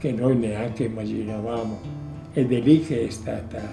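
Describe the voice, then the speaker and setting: A man's medium-pitched voice at a fairly slow pace, with music in the background. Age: 80s+. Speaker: woodworking craftsman. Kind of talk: interview answer.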